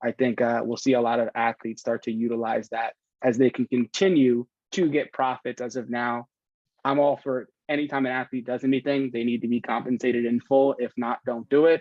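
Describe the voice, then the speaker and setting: In an American accent, a man speaks at a fairly quick pace with a plain, everyday voice. His pitch is medium, and his intonation is fairly even. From New Jersey. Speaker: tech executive and athlete advisor. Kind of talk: podcast interview.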